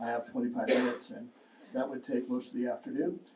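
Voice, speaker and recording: A man speaks with lively intonation and a dark, mellow tone. Audible room echo is present. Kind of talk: public talk on legal history. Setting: lecture with live audience.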